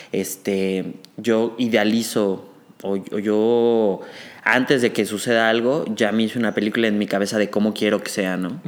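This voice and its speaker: A man has an ordinary speaking voice with a fairly low pitch. He speaks at a fairly slow pace with fairly even intonation. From Mexico City. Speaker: medical student. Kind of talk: casual chat.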